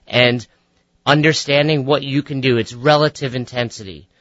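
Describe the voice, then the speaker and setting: With a plain, everyday voice, a man speaks at a medium pitch and a moderate pace using fairly even intonation. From New York, Westchester. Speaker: fitness coach and author. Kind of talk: radio interview. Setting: radio studio.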